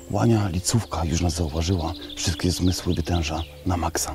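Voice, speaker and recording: A man's very deep, low voice with fairly even intonation, dry with no echo, over clear background music. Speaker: presenter. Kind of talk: hushed field commentary. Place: open country.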